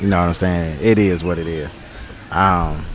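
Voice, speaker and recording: Noticeable noise sits behind a man whose delivery is moderate in pace. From Detroit, US Midwest. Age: 40s. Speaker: podcast host. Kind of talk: casual chat. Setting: outdoors in a park.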